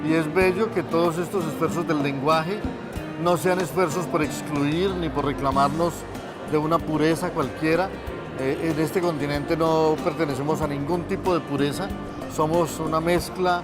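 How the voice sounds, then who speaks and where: Over music in the background, a man with a fairly high pitch speaks at a moderate pace, his loudness very even and his intonation fairly even. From Colombia. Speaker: writer. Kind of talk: interview answer.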